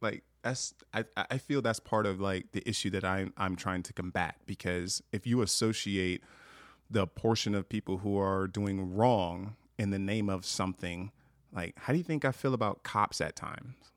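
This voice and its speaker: In an American accent, a man with an ordinary speaking voice talks at a moderate pace, his pitch fairly low with ordinary variation, the sound dry and close with no echo on a very clean recording with a silent background. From Long Beach, California; Montana since 2001. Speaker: racial awareness activist. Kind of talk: casual chat.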